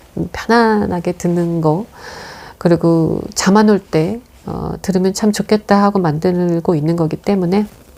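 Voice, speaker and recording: A woman speaks at a fairly slow pace in a calm, soothing tone with a fairly low pitch. Noticeable background noise can be heard. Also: fairly even intonation. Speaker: movie review host. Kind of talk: reading aloud a written film review. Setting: room at home. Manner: calm, soothing, sleep-inducing; unhurried, not playful.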